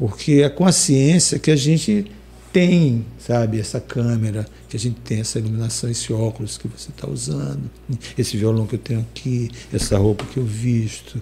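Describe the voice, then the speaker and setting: At a moderate pace, a man speaks with a medium pitch that moves in very wide swings. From Maranhão, Brazil. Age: 70s. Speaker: singer-songwriter. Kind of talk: interview. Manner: hesitant, many fillers.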